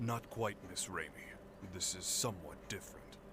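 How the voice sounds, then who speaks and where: A man does a put-on character voice against loud background noise. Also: fairly low pitch for a man, moderate pace. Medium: video game. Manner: formal, courteous.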